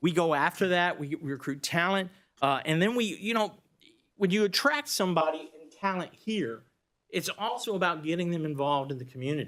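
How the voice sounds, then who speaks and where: The recording is very clean, with a silent background. A man with a Texas accent speaks at a high pitch. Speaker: economic developer. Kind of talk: presentation to county board. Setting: public meeting. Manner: fast.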